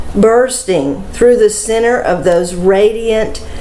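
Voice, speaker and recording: Noticeable background noise and audible room echo accompany a woman speaking very slowly at a fairly high pitch. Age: 70s. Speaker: prophetic dream teller. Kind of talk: testimony.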